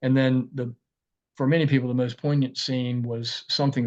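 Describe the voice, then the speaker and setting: He speaks with an Appalachian accent at a fairly quick pace. The man's intonation stays fairly even. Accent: Southern Appalachian American. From Tazewell, Virginia. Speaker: author and lawyer. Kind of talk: book talk.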